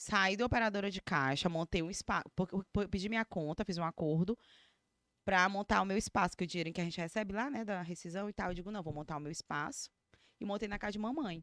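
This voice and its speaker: Over a very clean recording with a silent background and a dry, close sound with no echo, a woman talks at a very fast pace in an animated tone, her medium pitch showing ordinary variation. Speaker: beauty professional, eyebrow designer and micropigmentation artist. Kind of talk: casual personal storytelling.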